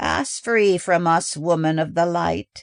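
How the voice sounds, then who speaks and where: Over a quiet background, a man performs a put-on character voice. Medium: read story. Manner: grave, slow, deliberate.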